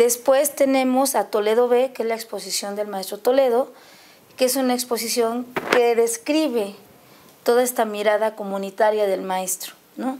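In an ordinary speaking voice, a woman talks at a moderate pace and a fairly high pitch with fairly even intonation, light noise in the background. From Guerrero, Mexico (Chilpancingo); Guerrero, Mexico. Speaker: museum staff and visual artist; guest. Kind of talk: studio interview. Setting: studio. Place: studio. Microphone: lapel.

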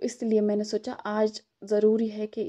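Recorded with a dry, close sound and no echo, a woman talks at a fairly high pitch in a dark, mellow tone. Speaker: vlogger. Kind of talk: casual vlog talk to camera.

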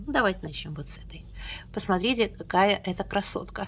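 This woman is speaking. Her voice has vocal fry. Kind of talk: casual talk to camera. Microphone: phone near.

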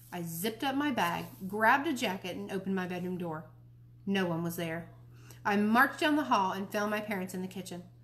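The intonation rises and falls in a lively way. The reading voice sounds unforced.

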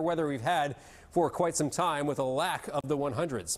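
A man keeps a fairly quick pace, and his pitch varies in an ordinary way. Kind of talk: weather forecast presentation. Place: studio. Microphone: lapel.

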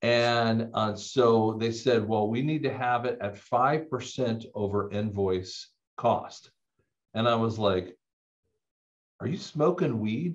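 Over a quiet background, a man speaks at a very slow pace with ordinary pitch variation. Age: 50s. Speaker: audiologist and clinic owner. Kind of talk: casual debate discussion. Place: office. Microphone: webcam.

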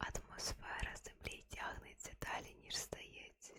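Very slow whispering from a woman, with noticeable background noise around it. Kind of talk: ASMR fact reading. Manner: whispered.

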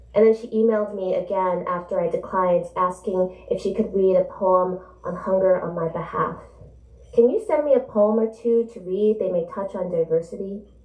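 Against a quiet background with audible room echo, a woman speaks at a moderate pace and a medium pitch, with ordinary pitch variation. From New Jersey. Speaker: author. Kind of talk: book event conversation and reading aloud. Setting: stage with audience. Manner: animated. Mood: reflective, literary. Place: shop.

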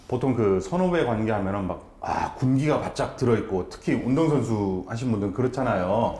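At a moderate pace and with hardly any pauses, a man talks in an animated tone while audible room echo surrounds him. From South Korea. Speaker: talk show host. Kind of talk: interview talk show. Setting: baseball center, recorded on location. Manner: animated, talkative. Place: studio. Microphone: lapel.

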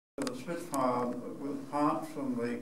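Light noise sits behind a man talking at a fairly slow pace, with audible room echo. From New Zealand. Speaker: war veteran. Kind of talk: public talk to an audience. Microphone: camera far.

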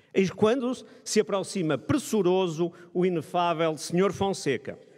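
This man's voice is high in pitch, with ordinary pitch variation. He speaks at a fairly slow pace. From Braga, northern Portugal; northern Portugal. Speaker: economics professor. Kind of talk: ceremonial speech. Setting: stage with audience. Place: hall. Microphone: podium.

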